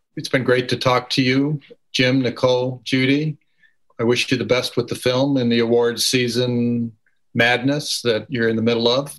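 At a moderate pace and medium pitch, a man speaks with monotone, flat intonation against a quiet background. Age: older. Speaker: moderator and filmmaker. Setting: video call.

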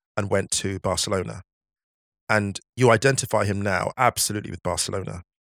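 A man in a normal speaking voice talks at a fairly quick pace, with a fairly low pitch and fairly even intonation. The recording is very clean, with a silent background and a dry, close sound with no echo. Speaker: football writer. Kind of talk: casual chat.

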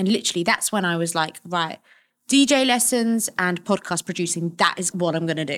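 At a fairly quick pace, a woman with a normal speaking voice and fairly low pitch uses lively intonation on a very clean recording with a silent background. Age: 30s. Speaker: DJ and podcast producer. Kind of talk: casual chat.

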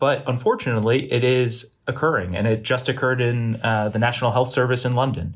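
This man has an American accent and a somewhat breathy, medium-pitched voice. He talks at a fairly quick pace with fairly even intonation. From Boston area, New England. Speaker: surgery resident. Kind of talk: debate discussion. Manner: halting, many fillers.

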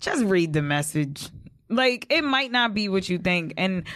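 In a quiet background, a woman with an American accent talks at a moderate pace and a medium pitch. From Long Island, New York (West Babylon). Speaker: event organizer and show host. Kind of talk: casual interview chat.

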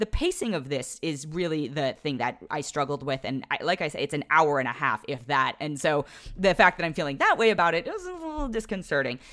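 Her voice is very deep and low, with lively intonation. The woman talks at a fairly quick pace with hardly any pauses, over noticeable background noise. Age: adult. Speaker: film critic podcast host. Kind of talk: solo film review.

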